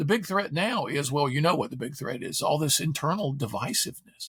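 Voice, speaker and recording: Animated and bright with a sharp tone, a man speaks at a fairly quick pace. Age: 70s. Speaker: philosopher and author. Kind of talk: podcast interview. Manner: animated storytelling.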